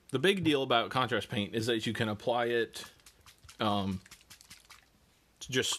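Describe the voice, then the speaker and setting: Ordinary pitch variation from a man keeping a moderate pace. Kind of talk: tutorial. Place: home room.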